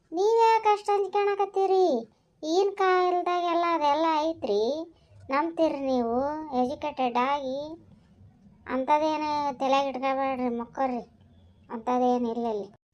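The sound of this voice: A woman uses a cartoonish character voice pitched high. She speaks at a very slow pace.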